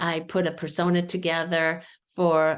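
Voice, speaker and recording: The speaker has a Boston accent and talks at a very slow pace. The background is quiet. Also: woman. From Boston, New England. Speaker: marketing expert demonstrating software. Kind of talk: product demo on a video call. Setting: video call. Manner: casual, filler-heavy.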